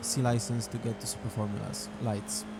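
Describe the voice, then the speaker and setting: A man with a Polish accent speaks at a moderate pace, with audible room echo and noticeable background noise. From Poland. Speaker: sim racing gamer. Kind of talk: gameplay voiceover commentary. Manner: hesitant, many fillers.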